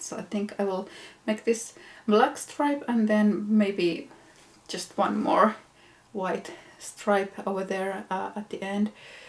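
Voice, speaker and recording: Her pace is very slow. The woman's speech is broken by long, frequent pauses. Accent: Finnish. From Finland. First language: Finnish. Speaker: knitting podcaster. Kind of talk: casual vlog show-and-tell. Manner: casual with hesitations.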